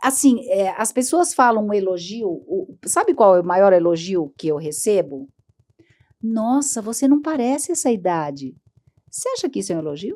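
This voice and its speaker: Her pitch fairly high, a woman speaks in a dark, mellow tone with very wide pitch swings. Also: moderate pace. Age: 60s. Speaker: headhunter. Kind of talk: podcast interview. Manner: animated.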